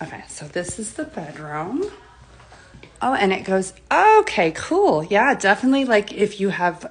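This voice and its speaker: A woman speaks with noticeable background noise. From Orlando, Florida (Bay Hill). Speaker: real estate agent. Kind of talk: live walk-through tour. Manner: casual, chatty.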